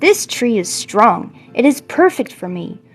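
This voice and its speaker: This woman uses a put-on character voice. It sits at a fairly high pitch. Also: moderate pace. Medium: read story.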